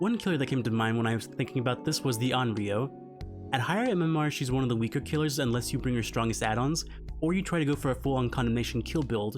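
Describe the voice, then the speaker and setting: A man's medium-pitched voice at a very fast pace with hardly any pauses, very even loudness, ordinary pitch variation, and music in the background. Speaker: gaming video creator. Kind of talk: video game commentary. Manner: low energy.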